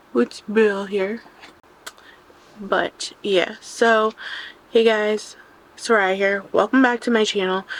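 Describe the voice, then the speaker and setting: Very slow speech from a woman at a fairly high pitch, with long, frequent pauses, monotone, flat intonation and noticeable background noise. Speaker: booktuber. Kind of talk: casual chat. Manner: chatty, informal.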